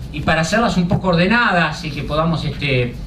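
A man delivers his words at a fairly quick pace. Noticeable background noise can be heard throughout. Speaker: event moderator. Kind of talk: introductory remarks to an audience. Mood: relaxed, friendly, smiling. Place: hall. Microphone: podium.

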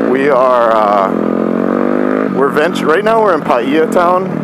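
The sound is dry with no echo as a man talks against loud background noise. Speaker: dirt bike vlogger. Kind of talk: casual vlog chat. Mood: playful, joking. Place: motorbike. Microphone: helmet.

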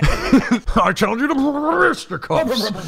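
A man puts on a character voice at an extremely high pitch. He goes at a very slow pace over clear background noise. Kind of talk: casual gameplay commentary. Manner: indignant, riled up. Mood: playful, laughing.

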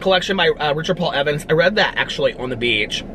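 A man with lively intonation talks at a high pitch, noticeable background noise behind him. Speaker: book YouTuber. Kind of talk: casual vlog chat. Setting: outdoors outside a fast food restaurant. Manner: chatty, filler-heavy.

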